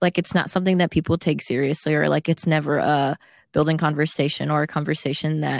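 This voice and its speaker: On a very clean recording with a silent background and a dry, close sound with no echo, a woman speaks at a fairly quick pace. Her voice is very deep and low, monotone with flat intonation, and carries vocal fry. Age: 20s. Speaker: podcast co-host. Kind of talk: casual chat.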